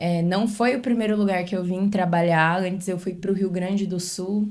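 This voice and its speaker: This woman's voice sits at a medium pitch. She speaks in a flat, monotone way. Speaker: dentist. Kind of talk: podcast interview. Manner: informal.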